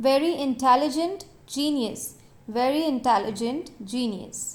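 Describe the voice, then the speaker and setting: Very slow speech from a woman, high-pitched and full of lively intonation. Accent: Indian. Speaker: English teacher. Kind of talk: vocabulary list drill, read twice.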